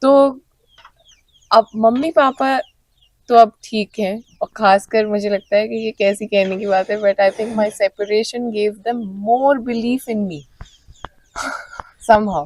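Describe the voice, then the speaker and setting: With long, frequent pauses, a woman speaks at a fairly high pitch with ordinary pitch variation, the sound dry and close with no echo. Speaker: folk musician. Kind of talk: casual chat. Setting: festival venue. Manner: animated.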